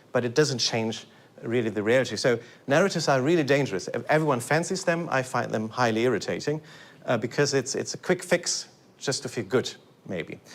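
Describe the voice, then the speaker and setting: A man with a German accent talks at a fairly quick pace, his intonation lively. The recording is very clean, with a silent background. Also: medium pitch for a man. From Germany. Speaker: lecturer, composer. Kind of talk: lecture. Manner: halting, many repetitions and fillers.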